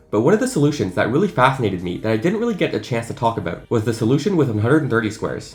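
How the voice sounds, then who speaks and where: Music plays in the background as a man speaks at a very fast pace. His pitch is medium and his tone is enthusiastic. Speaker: math video creator. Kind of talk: unscripted casual explainer video.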